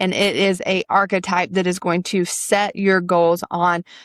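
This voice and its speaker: A woman speaks very slowly in a Southern US accent, her intonation flat and monotone and her loudness very even, on a very clean recording with a silent background. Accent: Southern US, noticeable. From US South, upstate South Carolina. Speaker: podcast host, spiritual coach. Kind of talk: casual podcast monologue.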